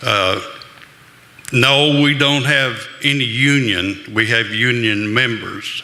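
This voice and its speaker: A man speaks very slowly at a medium pitch. Audible room echo and noticeable background noise surround him. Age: 70s. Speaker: audience member, miners' advocate. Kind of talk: public comment.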